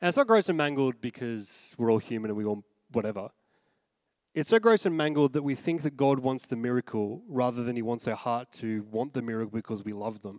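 Speaking at a fairly quick pace with an Australian accent, a man uses a medium pitch and ordinary pitch variation, and the very clean recording has a silent background and a dry, close sound with no echo. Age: 30s. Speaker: pastor. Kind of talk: sermon. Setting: church.

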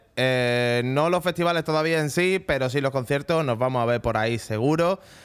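This man speaks at medium pitch and a moderate pace. His pitch varies in an ordinary way. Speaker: radio show host. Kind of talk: casual radio chat. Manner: animated.

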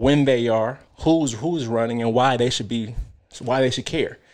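An unremarkable speaking voice from a man with an American accent, medium pitch, fairly even intonation and a moderate pace, over a quiet background. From Detroit, Michigan (and Canada). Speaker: political candidate. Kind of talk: interview.

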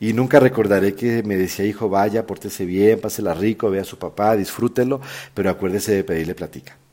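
A man talks at a fairly quick pace with fairly even intonation. His voice is fairly low in pitch and dark and mellow in tone. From Colombia. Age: 40s. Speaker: podcast host. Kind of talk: personal storytelling monologue.

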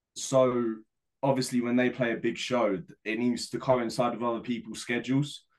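A man with a London accent at a fairly quick pace. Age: 20s. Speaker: indie band lead singer. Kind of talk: casual chat.

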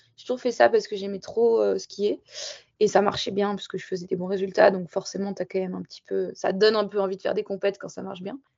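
A woman at a very fast pace, with big swings in loudness. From southern French Alps (Barcelonnette). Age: 20s. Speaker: freeride skier. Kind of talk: interview. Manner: casual, hesitant with fillers.

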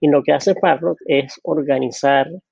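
A man with a strong Venezuelan accent talks in a fairly high pitch with fairly even intonation. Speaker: data analytics director. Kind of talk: interview.

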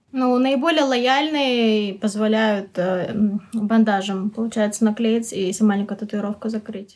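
At a fairly slow pace, a woman uses an ordinary speaking voice with a fairly high pitch and ordinary pitch variation. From Kazakhstan. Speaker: education worker. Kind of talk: interview.

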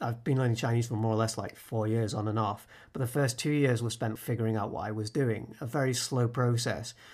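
At a fairly quick pace and with hardly any pauses, a man speaks at a medium pitch with fairly even intonation. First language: English and Spanish (bilingual). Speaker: podcast host. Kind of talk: casual interview; scripted narration.

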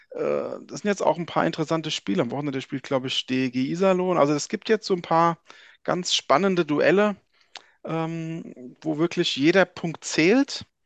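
A man's high-pitched voice at a moderate pace, dry and close with no echo, against a quiet background. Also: ordinary pitch variation. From Frankfurt, Hesse, Germany. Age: 40s. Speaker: ice hockey journalist. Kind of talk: casual chat.

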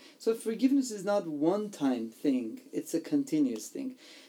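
This man's voice has a dark, mellow tone. Its pitch swings very widely. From Iran, Armenian family. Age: 40s. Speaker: pastor sharing testimony. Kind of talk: interview testimony.

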